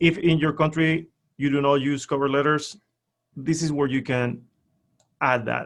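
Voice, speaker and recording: A man with a Spanish accent speaks at a moderate pace in a fairly high voice, his intonation flat and monotone, broken by long, frequent pauses. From Spain. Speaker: LinkedIn profile expert. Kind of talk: webinar presentation.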